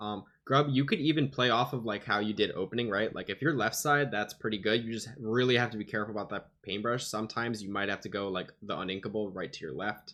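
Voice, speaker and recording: At a very fast pace with hardly any pauses, a man speaks in a bright, sharp tone, his pitch fairly low with ordinary variation. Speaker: gaming coach reviewing match footage. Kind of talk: VOD review commentary. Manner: casual with many fillers.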